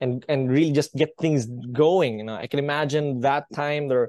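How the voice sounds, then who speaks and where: A man with an unremarkable speaking voice talks at a moderate pace and a fairly high pitch with fairly even intonation, in a dry, close sound with no echo. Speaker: podcast host, tech company founder. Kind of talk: interview.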